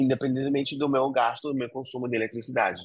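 Recorded dry and close with no echo, a man talks at a medium pitch. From Argentina, Buenos Aires province. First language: Spanish (speaking Portuguese). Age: 40s. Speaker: entrepreneur. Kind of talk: interview.

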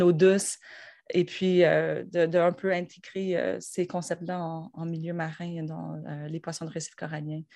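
A woman speaks at a fairly slow pace in a fairly low pitch, her delivery monotone and flat, against a quiet background. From Quebec, north shore of Montreal. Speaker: university professor. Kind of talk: interview. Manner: hesitant, many fillers.

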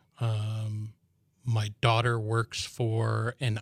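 A very slow, somewhat breathy delivery in an American accent, monotone and flat, in a very clean recording with a silent background and a dry, close sound with no echo. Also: man. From US Midwest, Chicago suburbs. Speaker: army veteran and business owner. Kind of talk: casual interview.

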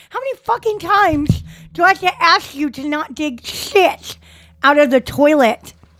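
A woman speaks at a moderate pace in a high pitch with lively intonation, and there is noticeable background noise. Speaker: podcast co-host. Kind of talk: casual comedic chat.

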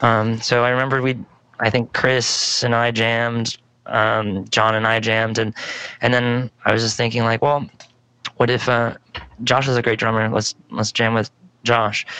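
Through noticeable background noise, a man of medium pitch speaks at a moderate pace in a monotone, flat intonation with very even loudness and long, frequent pauses. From San Jose suburbs, California. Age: 30s. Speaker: musician. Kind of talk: casual chat. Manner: halting, many fillers.

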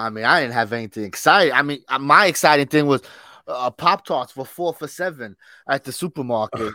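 Speaking at a fairly quick pace, a man has a fairly high pitch and a bright, sharp tone with lively intonation. The sound is dry and close, with no echo. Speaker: podcast co-host. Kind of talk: casual chat. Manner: laughs often.

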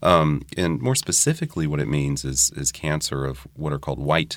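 Vocal fry in a man's very deep, low voice, delivered at a moderate pace. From New Orleans. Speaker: hematologic oncologist. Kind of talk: expert interview.

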